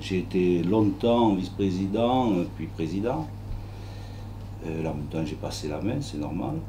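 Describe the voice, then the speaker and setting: Long, frequent pauses at a fairly slow pace, with audible room echo and noticeable background noise. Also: man, very deep, low pitch for a man, ordinary pitch variation. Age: 60s. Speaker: local election candidate, retired shopkeeper. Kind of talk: press conference statement. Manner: halting, many hesitations.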